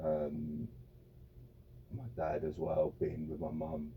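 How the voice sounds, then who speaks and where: A man's very deep, low voice with vocal fry and a dark, mellow tone. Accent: West Midlands. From English Midlands (Birmingham / Wolverhampton area). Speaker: former football goalkeeper. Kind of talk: interview. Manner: halting, many repeated words and fillers.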